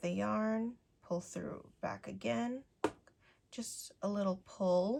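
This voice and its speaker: A woman speaks at a medium pitch. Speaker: crochet tutorial creator. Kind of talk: tutorial.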